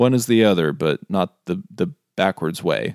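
In a dry, close sound with no echo, a man speaks at a moderate pace with vocal fry and very wide pitch swings. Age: 30s. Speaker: podcast host. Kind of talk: casual chat.

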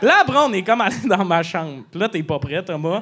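Noticeable background noise sits behind a man's high-pitched voice. He speaks at a moderate pace with lively intonation. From Quebec, Lac-Saint-Jean region. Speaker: comedian. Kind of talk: casual chat. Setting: stage with audience. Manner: animated.

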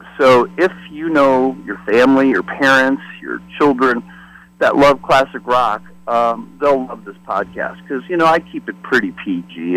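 With music in the background, a man in an American accent speaks at a fairly slow pace and a medium pitch. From US Midwest, Detroit. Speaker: former record promotion rep and podcaster. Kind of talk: casual interview chat.

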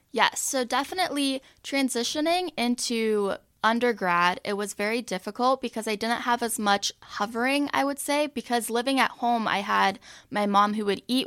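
A woman's fairly high-pitched voice, with ordinary pitch variation, comes at a moderate pace in a very clean recording with a silent background and a dry, close sound with no echo. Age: 20s. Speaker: college student in eating disorder recovery. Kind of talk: interview.

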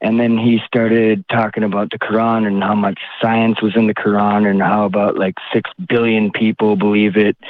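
This man has an unremarkable speaking voice with an American accent. His pitch is fairly low and his pace moderate. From Minnesota. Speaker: caller, factory night-shift worker. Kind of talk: phone-in question.

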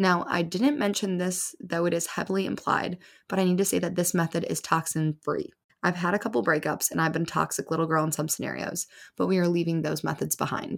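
In a very clean recording with a silent background, a woman uses a normal speaking voice, fairly low in pitch, with ordinary pitch variation. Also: fairly quick pace. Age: 20s. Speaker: podcast host and breakup advice creator. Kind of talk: solo advice monologue. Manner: casual, chatty.

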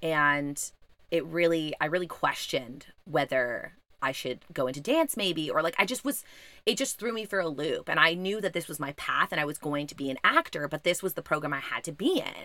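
Her pitch is fairly low for a woman, with a bright, sharp tone. She speaks at a moderate pace. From Canada, Montreal. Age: 30s. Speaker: actor and podcast host. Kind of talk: casual interview. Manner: animated.

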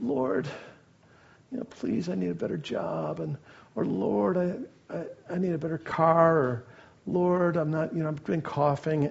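A man's put-on character voice, whiny and fairly high in pitch, with very wide pitch swings, a fairly slow pace and long, frequent pauses. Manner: mocking, whiny.

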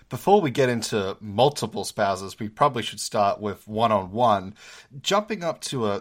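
Here a man speaks with an Australian accent and a fairly low pitch. The recording is very clean, with a silent background. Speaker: podcast host, PhD student. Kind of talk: interview.

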